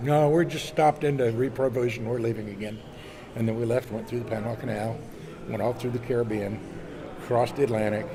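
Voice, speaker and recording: Despite long, frequent pauses, a man at medium pitch talks at a very fast pace amid noticeable background noise. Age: 70s. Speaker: sailor and magazine publisher. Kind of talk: casual interview. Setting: boat show. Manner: animated storytelling.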